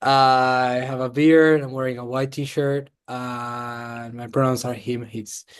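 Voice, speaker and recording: A man's medium-pitched, monotone voice, flat in intonation, fairly slow, with big swings in loudness. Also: hardly any pauses. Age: 30s. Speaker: accelerator program director. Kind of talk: panel discussion.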